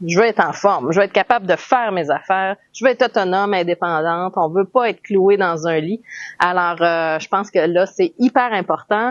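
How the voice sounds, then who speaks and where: A woman talks with a Quebec accent at a moderate pace. Her medium pitch shows ordinary variation. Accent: Québécois French. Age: 40s. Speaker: health vlogger. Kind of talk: personal vlog monologue. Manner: hesitant, many fillers.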